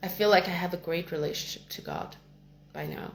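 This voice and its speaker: Speaking at a fairly quick pace, a woman with a fairly low pitch shows vocal fry. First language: not English. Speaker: spiritual content creator. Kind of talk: personal spiritual monologue.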